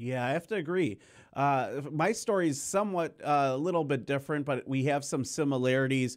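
With an American accent and an unremarkable speaking voice, a man talks at a fairly quick pace in a fairly high pitch, with ordinary pitch variation and very even loudness, on a very clean recording with a silent background. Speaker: producer and protest journalist. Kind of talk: interview. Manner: casual.

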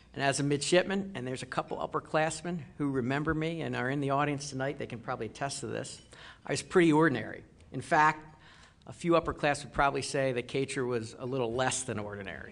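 Here a man with an American accent talks at a very fast pace. His pitch is fairly high, with ordinary pitch variation. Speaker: naval officer; guest. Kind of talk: speech. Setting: dinner event with audience. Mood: self-deprecating, humorous. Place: hall. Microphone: podium.

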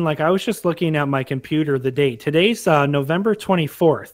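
This is a normal speaking voice at a fairly quick pace. Its pitch variation is ordinary. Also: man. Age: 20s. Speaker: youtuber, podcast co-host. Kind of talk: casual chat.

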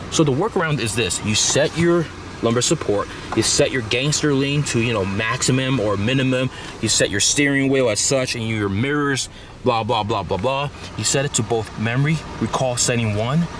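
A man talks at a moderate pace with ordinary pitch variation, his voice dry with no echo over noticeable background noise. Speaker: car vlogger. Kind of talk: casual vlog chat. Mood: joking, mildly annoyed. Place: car. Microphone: phone near.

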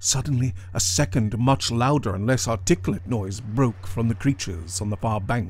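The clip features a natural reading voice.

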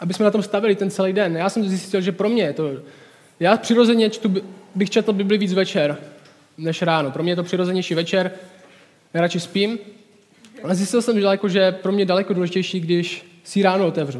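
A man's high-pitched voice at a fairly quick pace, with fairly even intonation. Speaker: speaker. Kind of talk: sermon. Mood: relaxed, informal. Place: home room.

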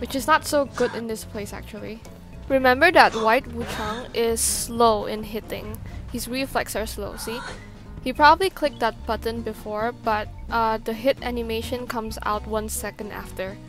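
Over music in the background, the speech moves at a moderate pace with long, frequent pauses and big swings in loudness. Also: woman. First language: not English. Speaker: gaming YouTuber. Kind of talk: gameplay commentary.

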